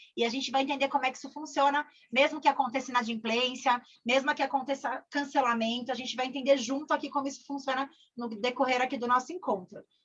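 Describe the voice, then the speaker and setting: A woman with a high pitch at a fairly quick pace. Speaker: corporate trainer. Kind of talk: online training session. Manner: fast; animated.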